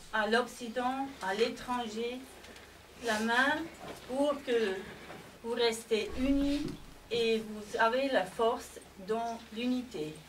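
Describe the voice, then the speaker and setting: Very slowly and with long, frequent pauses, a woman speaks with ordinary pitch variation in a room with audible echo. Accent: non-native. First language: not French (speaking French). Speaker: widow or partner of the deceased, speaker at memorial. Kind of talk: memorial tribute speech. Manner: halting.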